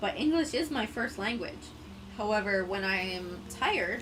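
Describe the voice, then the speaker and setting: Recorded with audible room echo and noticeable background noise, a woman speaks with a Canadian accent. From Quebec, Canada. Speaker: gaming streamer. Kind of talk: casual live-stream chat.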